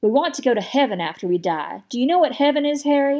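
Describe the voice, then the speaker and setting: In a put-on character voice, a woman rattles along at a very fast pace, her high pitch making very wide swings. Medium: read story. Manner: friendly, beaming, earnest.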